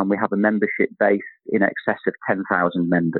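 A man talks at a moderate pace. He has a slight northern English accent. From Manchester, northern England. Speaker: chief executive of professional institute. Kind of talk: interview, conversational.

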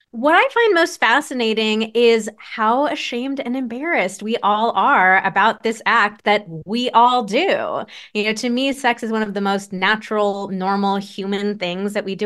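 Over a quiet background, a woman with a fairly high pitch speaks in a plain, everyday voice at a moderate pace with ordinary pitch variation. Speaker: sex therapist. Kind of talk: casual chat.

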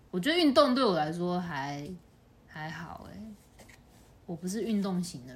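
In a room with audible echo, a woman with a fairly low, somewhat breathy voice speaks at a fairly slow pace, with long, frequent pauses, very wide pitch swings and big swings in loudness. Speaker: podcast co-host. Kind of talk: casual chat. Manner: slightly slurred.

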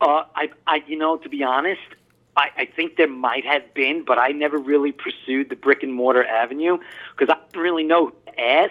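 A man talks at a fairly quick pace in a Long Island accent. His pitch is fairly high and his intonation fairly even. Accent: Long Island New York. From Long Island, New York. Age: 40s. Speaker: pipe maker. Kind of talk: interview. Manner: halting, many fillers.

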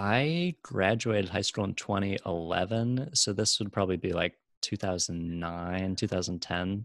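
With an American accent and a normal speaking voice, the speaker talks with hardly any pauses over a very clean, silent background. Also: man, fairly low pitch for a man, ordinary pitch variation, moderate pace. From Chicago, south side. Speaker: nonprofit marketing entrepreneur. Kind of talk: interview.

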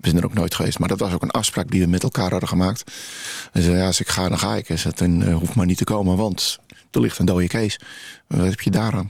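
Over a silent background in a very clean recording, a man speaks very fast in a very deep, low voice, with very even loudness and ordinary pitch variation. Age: 60s. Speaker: memorial photographer. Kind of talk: radio interview.

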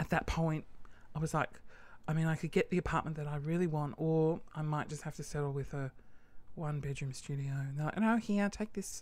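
A woman with an Australian accent speaks at a fairly quick pace in an animated tone, her pitch very deep and low, on a very clean recording with a silent background. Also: ordinary pitch variation. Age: 30s. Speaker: podcast host and small business owner. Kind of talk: casual monologue rant. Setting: home studio with microphone. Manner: animated, laughing often.

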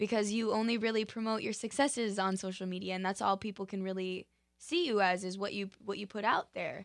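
A woman talks at a fairly quick clip in a plain, everyday voice, her intonation fairly even. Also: medium pitch for a woman. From Utah. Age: 20s. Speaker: dancer and actress. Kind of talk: interview.

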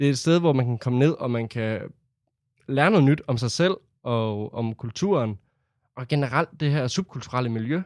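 A man at medium pitch with ordinary pitch variation, a moderate pace and long, frequent pauses, on a very clean recording with a silent background and a dry, close sound with no echo. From Denmark, Herning (central Jutland). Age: 20s. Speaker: youth centre board member, student. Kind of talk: interview testimony.

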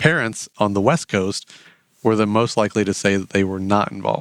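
A man with a Midwestern US accent speaks at a fairly quick pace in a fairly low pitch with fairly even intonation. The sound is dry and close with no echo, on a very clean recording with a silent background. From Indiana, rural US Midwest. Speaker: enrollment marketing specialist. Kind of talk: interview.

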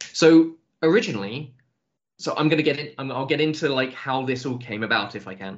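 A man with an English accent talks at a fairly quick pace, his loudness swinging widely. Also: medium pitch for a man, ordinary pitch variation. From England. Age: 30s. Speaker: tabletop RPG writer. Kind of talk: casual podcast interview.

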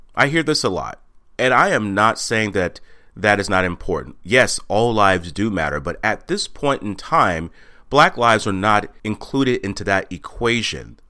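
With an American accent and a bright, sharp tone, the speaker talks at a moderate pace with lively intonation on a very clean recording with a silent background. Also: man. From Texas. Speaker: podcast host and motivational speaker. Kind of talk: monologue podcast.

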